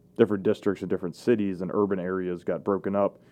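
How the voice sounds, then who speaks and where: A man with a normal speaking voice and fairly low pitch talks at a fairly quick pace. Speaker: videographer. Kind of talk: casual chat. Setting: studio.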